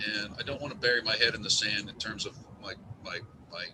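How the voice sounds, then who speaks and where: A man speaks at a fairly quick pace. Noticeable background noise sits behind him. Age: 60s. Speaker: webinar attendee, business owner. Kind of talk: casual chat. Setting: office during a snowstorm. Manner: halting.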